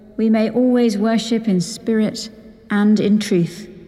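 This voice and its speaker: A woman talks at a fairly high pitch and a fairly slow pace in a monotone, flat delivery. Noticeable background noise runs underneath. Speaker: priest. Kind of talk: liturgical prayer.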